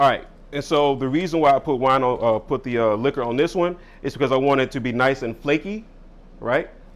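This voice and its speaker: A man's animated, fairly high voice at a fairly quick pace with ordinary pitch variation, on a very clean recording with a silent background. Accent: American. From US Midwest, Chicago (Englewood). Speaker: chef, cooking show host. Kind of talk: live cooking demonstration. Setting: studio. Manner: loud.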